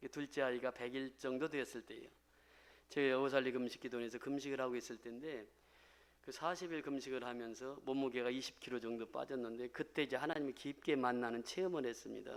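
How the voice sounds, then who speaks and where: The intonation is fairly even in a normal speaking voice. It moves along at a fairly quick pace. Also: man, medium pitch for a man. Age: 60s. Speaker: pastor. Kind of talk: testimony.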